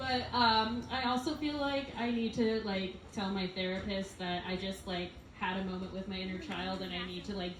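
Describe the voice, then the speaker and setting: A woman at medium pitch is heard with audible room echo and noticeable background noise. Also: ordinary pitch variation, moderate pace, hardly any pauses. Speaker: event host. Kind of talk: event emceeing. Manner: loud.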